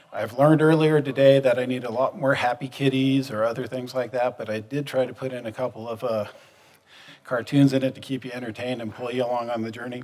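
A man rattles along at a very fast pace with monotone, flat intonation. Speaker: conference presenter. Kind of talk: conference talk. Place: hall.

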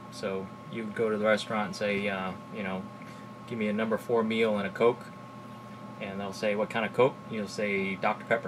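Pitched fairly low, a man speaks at a fairly quick pace, broken by long, frequent pauses. His intonation is fairly even, and there is noticeable background noise. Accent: Texan. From South Texas. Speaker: YouTuber reviewing drinks. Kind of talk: casual vlog tasting; casual vlog chat. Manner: casual, many fillers and hesitations. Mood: relaxed, jokey. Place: home room.

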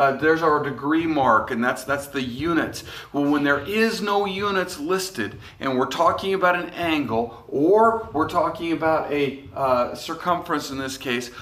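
Speaking at a moderate pace with ordinary pitch variation, a man is heard with audible room echo. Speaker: math teacher. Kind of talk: lecture. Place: classroom. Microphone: phone near.

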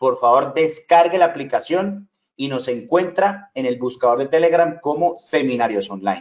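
A man's fairly high voice with lively intonation, against a quiet background. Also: moderate pace. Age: 40s. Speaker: online business trainer. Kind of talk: sales pitch. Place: home room.

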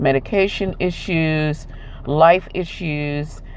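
A woman's very deep, low voice with ordinary pitch variation, over light background noise. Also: dry sound with no echo. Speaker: vlogger. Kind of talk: casual vlog chat. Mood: apologetic, sincere. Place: car. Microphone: earbuds.

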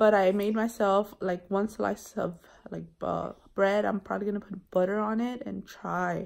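In a tired tone, a woman speaks at a moderate pace with monotone, flat intonation. The background is quiet. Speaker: mom vlogger. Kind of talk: casual vlog chat. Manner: weak, tired sick voice. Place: home room. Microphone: phone near.

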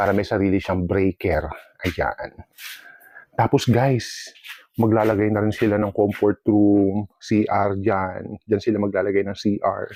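Here a man talks at a fairly slow pace with a fairly low pitch and fairly even intonation. His tone is dark and mellow, and the sound is dry and close with no echo. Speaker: vlogger and dog owner. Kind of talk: casual vlog narration.

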